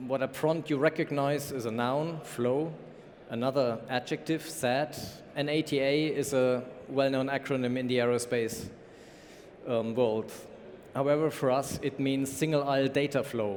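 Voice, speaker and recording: A man with a German accent, medium pitch, a moderate pace and fairly even intonation. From Germany. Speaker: conference speaker, company information management lead. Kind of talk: conference talk.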